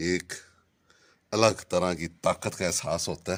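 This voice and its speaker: Very slow and very deep, a man speaks at a low pitch. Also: very clean recording, silent background. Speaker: vlogger. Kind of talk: vlog. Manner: casual.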